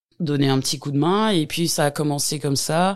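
A woman speaks at a very deep, low pitch. Her pace is fairly slow and her intonation fairly even. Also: very clean recording, silent background. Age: 40s. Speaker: home care worker. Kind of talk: interview. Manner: hesitant.

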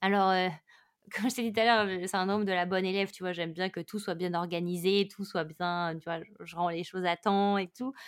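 The recording is very clean with a silent background. A woman at medium pitch, with an unremarkable speaking voice, talks at a fairly quick pace with fairly even intonation. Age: 30s. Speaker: meditation teacher and yoga instructor. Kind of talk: casual interview.

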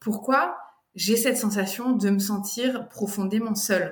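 Somewhat breathy and at medium pitch, a woman talks at a fairly slow pace with ordinary pitch variation, with audible room echo. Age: 40s. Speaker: doula. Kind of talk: testimony. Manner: halting.

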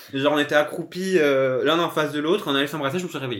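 This man talks at a very fast pace in a fairly high pitch for a man. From Corsica. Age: 20s. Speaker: podcast guest. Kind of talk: casual chat. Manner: hesitant, many fillers.

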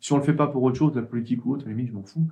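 This man has a dark, mellow tone, a medium pitch and ordinary pitch variation. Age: 30s. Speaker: IT trainer and author. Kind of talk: casual interview.

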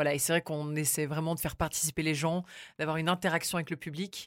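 A woman speaks in a very deep, low voice at a fairly quick pace with monotone, flat intonation. The recording is very clean, with a silent background. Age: 20s. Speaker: radio journalist. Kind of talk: casual chat. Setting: studio.

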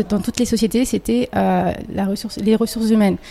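A woman speaks in a fairly high voice with a dark, mellow tone. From anglophone countries, Comorian family. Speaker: engineer and school co-founder. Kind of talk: interview conversation. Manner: halting, many repetitions.

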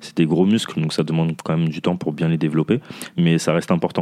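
Noticeable background noise accompanies a man who speaks very fast at a very deep, low pitch with fairly even intonation. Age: 30s. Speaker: fitness coach. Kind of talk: casual chat.

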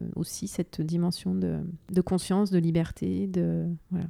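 Her tone is dark and mellow. This woman's voice sits fairly low. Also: very clean recording, silent background. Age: 40s. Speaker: feng shui and space design consultant. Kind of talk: interview conversation.

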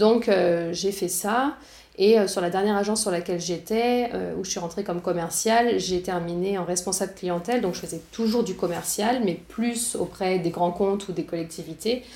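A woman at a moderate pace, medium in pitch with ordinary pitch variation, amid noticeable background noise. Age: 30s. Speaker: entrepreneur and communication teacher. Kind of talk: interview.

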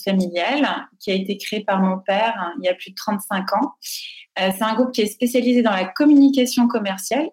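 A woman's plain, everyday voice, fairly high-pitched, at a moderate pace with ordinary pitch variation. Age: 30s. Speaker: foundation director. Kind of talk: interview.

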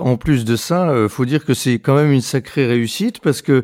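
The tone here is dark and mellow. It comes from a man, recorded dry and close with no echo. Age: 40s. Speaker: podcast host. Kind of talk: interview. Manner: hesitant, many fillers.

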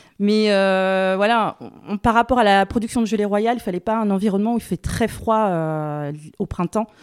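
A woman talks at a moderate pace with medium pitch and ordinary pitch variation. The sound is dry and close with no echo, and the recording is very clean over a silent background. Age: 40s. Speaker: beekeeper. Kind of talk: casual interview conversation. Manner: hesitant, many fillers.

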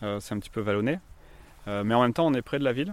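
The voice is medium-pitched. It belongs to a man. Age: 30s. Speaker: shared-housing resident, insurance employee. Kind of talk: casual interview. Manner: hesitant, many fillers.

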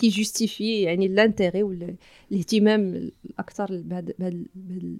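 A woman speaks at a medium pitch and a moderate pace, with hardly any pauses and a monotone, flat intonation. Her loudness swings widely, and the sound is dry and close with no echo. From Morocco, Tiznit region (Souss). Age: 30s. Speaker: community development activist. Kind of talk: interview. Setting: in person in Tiznit.

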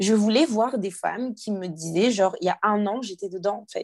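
Against a quiet background, a woman with a fairly high pitch speaks at a fairly slow pace with ordinary pitch variation. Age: young. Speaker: life coach. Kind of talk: personal testimony interview. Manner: halting with hesitations.

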